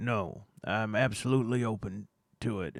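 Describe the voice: A man uses a put-on character voice with a Southern accent, pitched at a medium level. He talks at a moderate pace.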